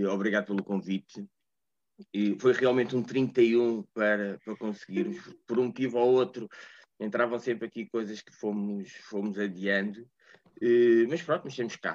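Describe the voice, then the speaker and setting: A man speaks in a European Portuguese accent with ordinary pitch variation. The sound is dry and close, with no echo. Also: medium pitch for a man, moderate pace, big swings in loudness. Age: 40s. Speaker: preschool teacher. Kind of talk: casual chat.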